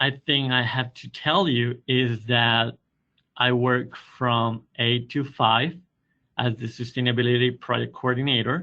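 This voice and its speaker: A man with a Spanish accent. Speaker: university sustainability coordinator. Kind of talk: webinar presentation.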